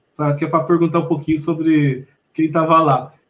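In an animated tone, a man talks at a very fast pace. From Mogi das Cruzes, São Paulo state, Brazil. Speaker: podcast host. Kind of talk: casual interview.

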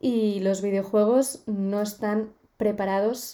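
A woman speaks at a medium pitch. Her tone is dark and mellow. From Spain, Barcelona. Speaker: podcast host. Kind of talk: casual chat.

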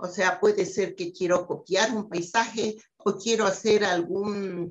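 Somewhat breathy, the voice moves at a fairly slow pace. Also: woman. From Ecuador, Quito. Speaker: scientist. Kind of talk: interview.

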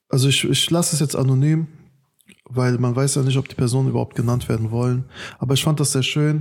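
Somewhat breathy speech from a man. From Germany. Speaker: podcast host and youth workshop leader. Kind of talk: casual chat.

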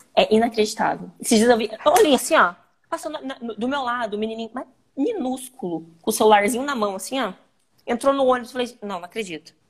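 A woman's unremarkable speaking voice, fairly high and fairly quick, with ordinary pitch variation and big swings in loudness. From Brazil, Paraná (Londrina). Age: 30s. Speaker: mother and podcast guest. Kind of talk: casual chat.

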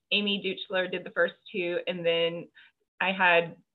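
Speaking at a moderate pace, a woman uses an unremarkable speaking voice pitched fairly low. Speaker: podcast host and fiction author. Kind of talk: casual interview chat. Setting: video call.

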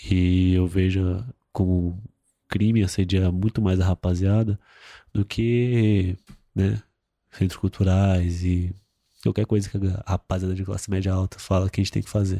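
A man with a very deep, low pitch and a dark, mellow tone speaks in a flat monotone at a fairly slow pace, with long, frequent pauses. The sound is dry and close with no echo, on a very clean recording with a silent background. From Brazil, São Paulo (Itaquera, east side periphery). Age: 20s. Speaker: fashion model. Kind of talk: casual chat.

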